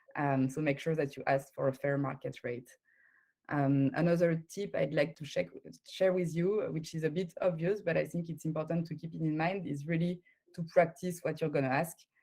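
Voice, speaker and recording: Speaking at a moderate pace, a woman with a French accent uses a very deep, low pitch, a dark, mellow tone and fairly even intonation. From France. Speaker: recruiter. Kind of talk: conference talk. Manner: halting.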